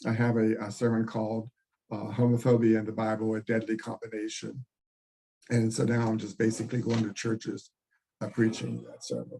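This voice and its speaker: A man with an American accent speaks at a medium pitch in a dark, mellow tone, his intonation flat and monotone. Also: fairly quick pace. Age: 80s+. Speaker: retired priest and pastor. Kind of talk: oral history interview. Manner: halting, repeated words.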